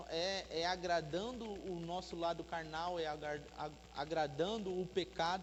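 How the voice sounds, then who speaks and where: Audible room echo surrounds the speaker. The delivery is fairly slow, with ordinary pitch variation. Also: man. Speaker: preacher. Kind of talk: sermon. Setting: church.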